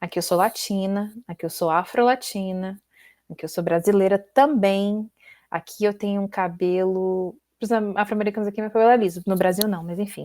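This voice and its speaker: A woman's dark, mellow tone at a medium pitch, with fairly even intonation and a moderate pace, on a very clean recording with a silent background. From Brazil. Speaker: PhD student. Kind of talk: casual interview.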